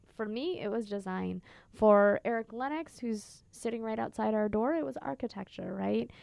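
A woman's fairly high, normal speaking voice, a normal speaking voice with an American accent, lively intonation and a moderate pace. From Minnesota. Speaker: entrepreneur. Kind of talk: interview.

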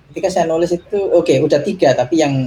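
A man speaks at a very fast pace, his tone dark and mellow and somewhat breathy. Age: 30s. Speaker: tech executive and parent. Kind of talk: casual interview.

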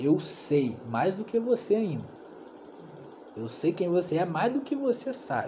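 With noticeable background noise behind him, a high-pitched man speaks at a fairly slow pace, his pitch swinging very widely between long, frequent pauses. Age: 20s. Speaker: bible study leader. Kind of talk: bible study teaching. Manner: casual, slangy.

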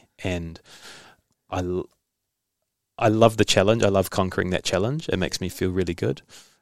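A man's very deep, low voice in a New Zealand accent, fairly quick yet broken by long, frequent pauses, with ordinary pitch variation, on a very clean recording with a silent background. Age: 30s. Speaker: podcast host and journalist. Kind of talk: casual interview.

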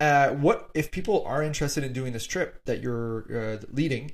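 Somewhat breathy, a man with a Canadian accent talks at a fairly quick pace and a fairly high pitch, with ordinary pitch variation. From Northern Canada. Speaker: podcast host. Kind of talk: casual chat.

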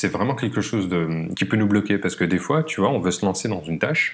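A man's ordinary speaking voice, fairly low in pitch, at a fairly quick pace with lively intonation. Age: 30s. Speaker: productivity coach. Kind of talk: casual chat.

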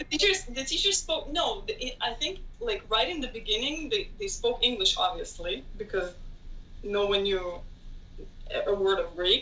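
A raised, projected voice with very wide pitch swings moves at a moderate pace over noticeable background noise. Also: woman, high pitch for a woman. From Israel (Tel Aviv). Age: 20s. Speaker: graduate student. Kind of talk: casual interview.

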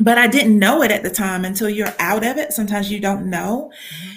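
In a Southern US accent, a woman with medium pitch and a somewhat breathy voice talks at a very fast pace. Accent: Southern American. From US South, Georgia. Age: 40s. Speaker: faith-based business coach. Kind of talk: interview.

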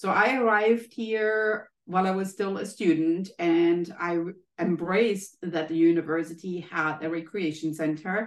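Speech comes at a fairly slow pace. It carries a German accent. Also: woman, fairly low pitch for a woman, ordinary pitch variation. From Germany. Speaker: health economist and professor. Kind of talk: interview.

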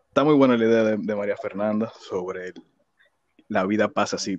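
A man with an ordinary speaking voice talks at a medium pitch and a fairly quick pace, in a dry, close sound with no echo against a quiet background. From Dominican Republic, Villa Faro. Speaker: podcast co-host. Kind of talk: casual chat.

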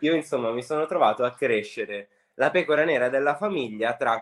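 A man talks at a fairly quick pace with ordinary pitch variation in a normal speaking voice. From Liguria, Italy (Sanremo). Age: 20s. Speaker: home cook and food content creator. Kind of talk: casual interview chat.

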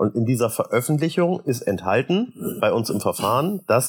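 A man speaks with very wide pitch swings and a somewhat breathy quality. His pace is moderate. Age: 40s. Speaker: state parliament member. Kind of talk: casual interview.

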